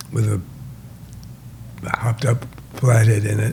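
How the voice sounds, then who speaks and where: A man talks at a moderate pace. Background noise is noticeable throughout. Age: 80s+. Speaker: race engine builder. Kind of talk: interview answer.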